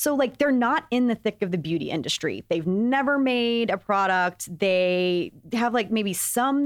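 On a very clean recording with a silent background, a woman with an American accent uses an unremarkable speaking voice, fairly high in pitch and lively in intonation. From Texas. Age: 30s. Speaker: beauty podcast host. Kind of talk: casual chat.

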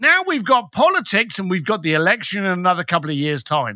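A man's raised, projected voice carries a bright, sharp tone and very wide pitch swings. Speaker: speaker and consultant guest. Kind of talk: casual interview. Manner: animated, blunt.

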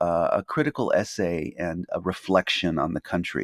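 A man with a Californian accent talks at a moderate pace in a very clean recording with a silent background. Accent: Californian American English. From Los Angeles, US. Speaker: journalist and professor. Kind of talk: interview conversation.

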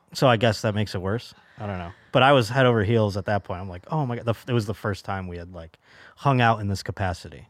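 Talking at a very fast pace, a man with a fairly low pitch, ordinary pitch variation and big swings in loudness is captured in a very clean recording with a silent background. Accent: American. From Buffalo, New York. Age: 30s. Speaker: stand-up comedian. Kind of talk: casual chat.

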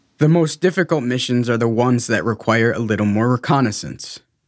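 A man with a medium-pitched, plain, everyday voice speaks with lively intonation. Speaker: adoptee telling his story. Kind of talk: scripted narration.

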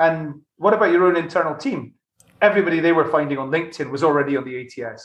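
A man with a Glasgow accent, high-pitched and very fast, with ordinary pitch variation. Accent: Scottish (Glasgow). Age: 40s. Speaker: tech company CEO. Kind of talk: interview conversation.

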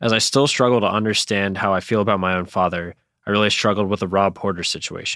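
On a very clean recording with a silent background, a man with a Northeastern US accent and a fairly low, bright, sharp voice speaks very fast with fairly even intonation. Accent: American Northeast. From New York State, US. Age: 20s. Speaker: listener. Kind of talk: voice message.

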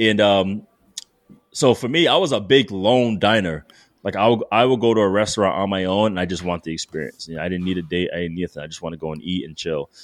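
A man's very deep, low voice, very fast, with ordinary pitch variation and big swings in loudness. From Rhode Island, Providence. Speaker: former football player turned sommelier. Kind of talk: casual chat.

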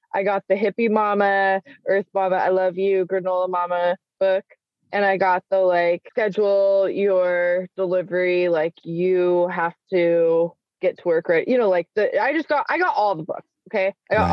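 At a moderate pace, a woman with an American accent and a normal speaking voice speaks at a medium pitch with fairly even intonation. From Salt Lake City, Utah. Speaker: stay-at-home mom, educator and entrepreneur. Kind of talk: casual chat.

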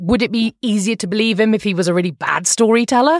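In a British accent, a woman speaks at a fairly quick pace with medium pitch. The recording is very clean, with a silent background. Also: dry, close sound with no echo. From England. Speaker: podcast host and former journalist. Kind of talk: casual interview chat.

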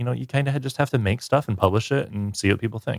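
A plain, everyday voice from a man, fairly low in pitch with ordinary pitch variation, in a dry, close sound with no echo. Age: 20s. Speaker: video producer and YouTuber. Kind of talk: casual interview chat. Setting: remote recording during a thunderstorm.

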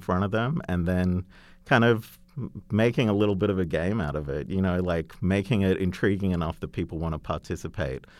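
This man's voice is extremely deep and low. His delivery comes at a moderate speed. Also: very clean recording, silent background. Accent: Australian. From Australia. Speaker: creative agency chief. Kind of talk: interview.

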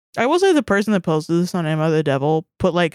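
A woman with an American accent and a plain, everyday voice speaks at a fairly quick pace in a fairly low pitch, recorded very cleanly against a silent background with a dry, close sound and no echo. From US South. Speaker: podcast co-host. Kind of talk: casual chat.

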